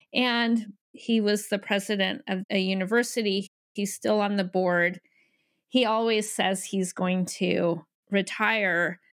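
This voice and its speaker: At a very slow pace, a woman speaks at a medium pitch with fairly even intonation on a very clean recording with a silent background. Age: 50s. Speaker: podcast host and life coach. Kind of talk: casual chat; scripted introduction.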